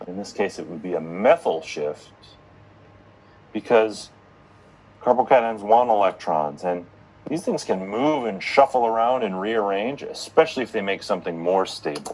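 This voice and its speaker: Using lively intonation and a fairly low pitch, a man speaks at a moderate pace. His loudness swings widely, and he leaves long, frequent pauses. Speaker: chemistry lecturer. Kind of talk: lecture.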